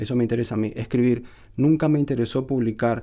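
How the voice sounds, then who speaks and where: A man speaks with a northeastern Argentine accent. His tone is dark and mellow against a quiet background. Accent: northeastern Argentine Spanish (Corrientes). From Argentina, Corrientes. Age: 50s. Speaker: poet. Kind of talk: reading aloud; personal account. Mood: calm, reflective. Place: studio. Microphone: studio mic.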